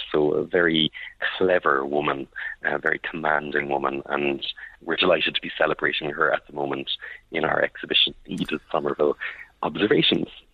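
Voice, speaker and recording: A very deep, low male voice at a fairly quick pace, flat and monotone, against noticeable background noise. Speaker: art historian, gallery lecturer. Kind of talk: informal interview. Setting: art gallery, phone call.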